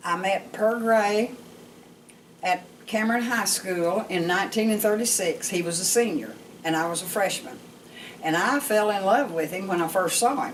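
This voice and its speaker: A woman talks at a moderate pace, her pitch in the middle range. Noticeable background noise runs underneath. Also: ordinary pitch variation. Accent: Southern US. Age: 80s+. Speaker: storyteller grandmother. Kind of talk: personal life story told to family.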